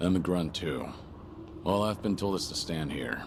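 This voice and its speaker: Over clear background noise, someone uses a put-on character voice at a moderate pace. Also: man, very deep, low pitch for a man. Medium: video game. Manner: terse, calm.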